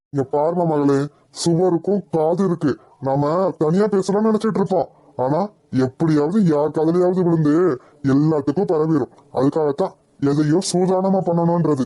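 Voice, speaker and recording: In a cartoonish character voice, a man speaks at a high pitch and fairly slow pace, with ordinary pitch variation and very even loudness. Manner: calm, knowing, condescending.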